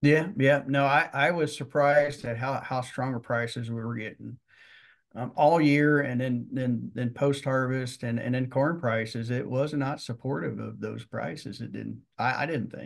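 A man speaks with a Midwestern American accent at a medium pitch. His pace is moderate, with ordinary pitch variation over a quiet background. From Missouri. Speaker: land appraiser. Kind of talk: interview. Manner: halting.

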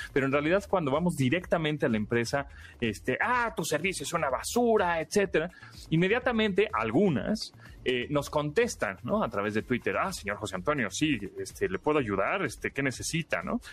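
A man's fairly high, vocal-fried voice at a fairly quick pace, with very wide pitch swings. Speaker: radio host. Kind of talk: radio tech talk show. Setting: radio studio.

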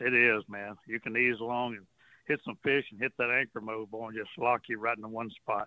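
A man talks at a fairly quick pace in a medium pitch, with a Texan accent. His intonation is flat and monotone, but his loudness swings widely. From Texas, Port Arthur. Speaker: fishing guide. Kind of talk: casual radio chat.

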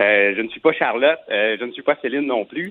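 Lively intonation marks a normal speaking voice moving at a moderate pace. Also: man. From Quebec. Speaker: singer. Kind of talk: interview.

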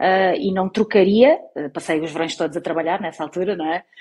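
A woman's plain, everyday voice at medium pitch and moderate pace. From Portugal, Algarve. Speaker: TV journalist. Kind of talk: casual interview.

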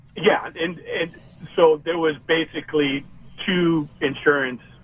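A man speaks in a fairly high voice. Noticeable background noise runs underneath. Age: 50s. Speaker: caller planning early retirement. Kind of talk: radio call-in question.

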